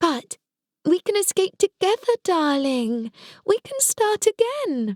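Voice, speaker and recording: A female-sounding put-on character voice, squeaky and extremely high-pitched, swinging very widely in pitch at a fairly slow pace. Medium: read story.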